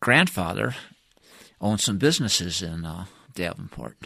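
A man's bright, sharp voice with vocal fry and an American accent on a very clean recording with a silent background. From US Midwest, Michigan. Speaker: retired engineer interviewing his wife. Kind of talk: oral-history interview. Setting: studio. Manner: hesitant, filler-heavy.

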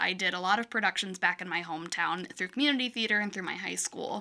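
A woman with a Midwestern American accent talks at a fairly quick pace in a bright, sharp tone. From Michigan. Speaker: actor. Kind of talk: casual chat.

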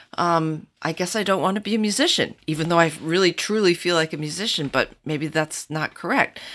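Talking at a fairly quick pace with hardly any pauses, a woman has a fairly low pitch. She speaks with an American accent and ordinary pitch variation. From Michigan, US. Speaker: cellist. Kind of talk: casual chat.

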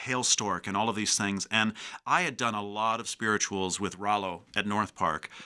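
In a Chicago accent, a man speaks at a fairly low pitch with a bright, sharp tone, on a very clean recording with a silent background. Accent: Chicago-area American. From US Midwest, Chicago south suburbs. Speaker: university choral director. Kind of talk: casual interview. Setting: radio studio.

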